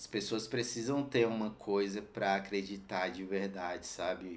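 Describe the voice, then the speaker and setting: A man speaks at a fairly low pitch and moderate pace, with audible room echo. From Brazil, Ceilândia (Federal District). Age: 30s. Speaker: skateboarder and streetwear brand owner. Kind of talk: casual chat.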